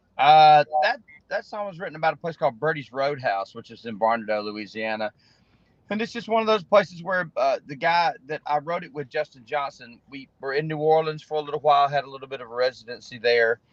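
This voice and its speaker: With an Alabama accent, a man talks at a fairly high pitch with lively intonation and big swings in loudness, in a dry, close recording with no echo. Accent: Southern US (Alabama). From Alabama (Opelika), US South. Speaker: singer-songwriter. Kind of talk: interview. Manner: halting.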